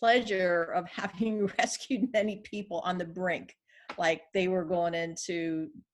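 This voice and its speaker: A woman speaks at a fairly slow pace in an unremarkable speaking voice, with medium pitch and ordinary pitch variation. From California. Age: 60s. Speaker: life coach. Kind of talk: interview.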